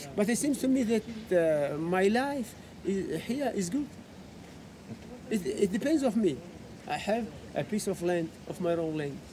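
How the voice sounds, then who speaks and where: A man speaks at a fairly slow pace, leaving long, frequent pauses. Noticeable background noise can be heard. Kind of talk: interview answer. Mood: warm, reflective, laughing. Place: street. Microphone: phone near.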